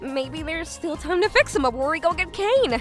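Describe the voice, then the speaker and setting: An extremely high, shaky put-on character voice with very wide pitch swings and a fairly quick pace, over clear music in the background. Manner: urgent, stressed.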